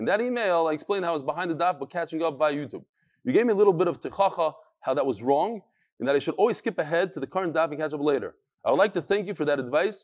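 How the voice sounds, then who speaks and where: A man speaks at a very fast pace with a high pitch. His pitch varies in an ordinary way over a quiet background. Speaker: religious teacher. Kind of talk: lecture, reading viewer letters. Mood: light, joking. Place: studio. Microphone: lapel.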